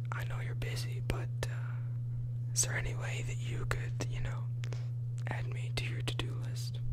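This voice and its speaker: Against loud background noise, a man speaks at a fairly slow pace with long, frequent pauses. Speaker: ASMR creator. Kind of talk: bad pickup lines read in a humorous way. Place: home room. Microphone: studio mic.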